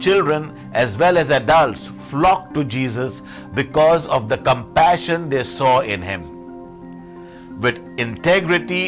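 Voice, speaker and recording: A man's voice with very wide pitch swings, music in the background. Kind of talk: Sunday homily / sermon.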